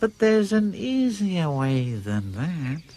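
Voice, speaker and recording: Using a put-on character voice, a man speaks at a high pitch and fairly slow pace with very wide pitch swings. His tone is calm. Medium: short film. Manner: calm, knowing.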